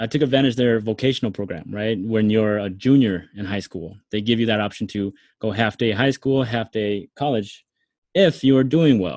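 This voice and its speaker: A man with an American accent speaks at a moderate pace in a fairly low pitch, with ordinary pitch variation and a plain, everyday voice. The recording is very clean, with a silent background. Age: 30s. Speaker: former mechanic and ex radio host. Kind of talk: casual interview chat.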